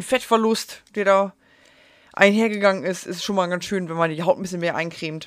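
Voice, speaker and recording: Fairly quick speech from a woman at medium pitch with fairly even intonation, on a very clean recording with a silent background. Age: 30s. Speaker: podcaster. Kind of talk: casual monologue. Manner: unscripted, with slips and fillers.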